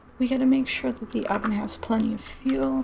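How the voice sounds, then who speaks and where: With noticeable background noise behind her, a soft-spoken woman talks at a fairly quick pace in a calm, relaxed tone. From England. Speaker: gaming ASMR streamer and VTuber. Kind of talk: soft-spoken gaming ASMR commentary. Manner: soft-spoken, calm, relaxed.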